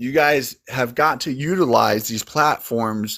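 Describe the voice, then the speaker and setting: On a very clean recording with a silent background, a man speaks fairly slowly in a plain, everyday voice at a medium pitch with ordinary pitch variation. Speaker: livestream host. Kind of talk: casual chat. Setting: TikTok live stream.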